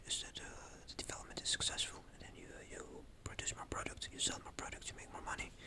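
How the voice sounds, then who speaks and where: A man whispering at a very fast pace over noticeable background noise. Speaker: vlogger. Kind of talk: casual monologue. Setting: at home at night. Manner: halting.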